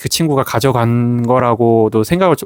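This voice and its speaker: A man's plain, everyday voice at medium pitch, fairly slow pace, dry, close sound with no echo, and a very clean recording with a silent background. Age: 40s. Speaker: gratitude journal YouTuber. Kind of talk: casual talk to camera.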